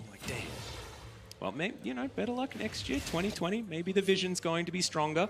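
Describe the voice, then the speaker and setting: A man with an Australian accent, lively intonation and a fairly quick pace, over noticeable background noise. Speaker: esports commentator. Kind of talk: live commentary.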